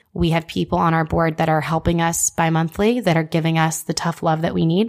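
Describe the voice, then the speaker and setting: A woman has a normal speaking voice with a fairly low pitch and an American accent. She talks at a fairly quick pace. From Houston, Texas. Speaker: marketing agency co-founder. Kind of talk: interview.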